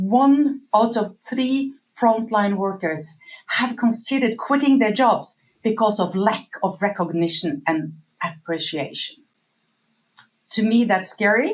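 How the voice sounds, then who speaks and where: At a fairly slow pace, a woman speaks with a fairly high pitch, lively intonation and a somewhat breathy sound. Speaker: customer feedback company employee. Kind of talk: webinar presentation. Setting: online webinar.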